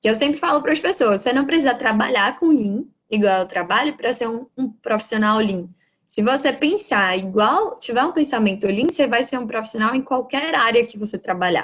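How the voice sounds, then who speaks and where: A woman in a Bahian accent, high-pitched, with lively intonation at a moderate pace. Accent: Bahian Brazilian Portuguese. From Brazil, Bahia. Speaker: lean manufacturing professional, lecturer. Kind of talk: lecture.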